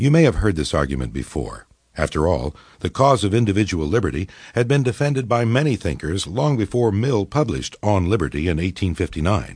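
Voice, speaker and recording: A man with vocal fry talks at a fairly quick pace and a fairly low pitch, with very wide pitch swings. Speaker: audiobook narrator. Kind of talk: audiobook narration of nonfiction, scripted reading. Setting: studio. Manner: formal, measured, even-paced; clear, didactic, lecture-like delivery.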